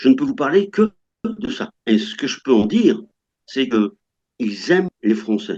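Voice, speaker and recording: With a dark, mellow tone, a man talks at a fairly slow pace using very wide pitch swings. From France. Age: 60s. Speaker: French retiree living in Russia. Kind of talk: interview. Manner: halting, many hesitations.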